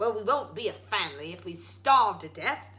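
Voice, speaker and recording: The speaker uses a put-on character voice, gruff and fairly high in pitch. The pace is moderate. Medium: read story.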